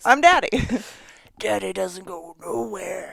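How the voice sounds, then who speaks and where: A put-on character voice speaks at a fairly slow pace. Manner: silly, put-on.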